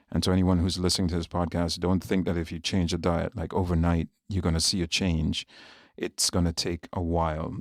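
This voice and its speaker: Very deep and low, a man's voice races at a very fast pace in a monotone, flat intonation with a Jamaican accent, on a very clean recording with a silent background. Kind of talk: podcast interview.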